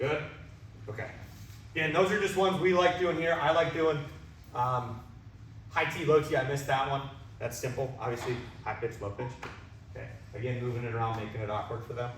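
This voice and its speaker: A man with an American accent talks fairly quickly at a medium pitch with lively intonation and long, frequent pauses, amid audible room echo and noticeable background noise. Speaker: baseball hitting coach. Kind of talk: coaching clinic talk. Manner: loud; energetic.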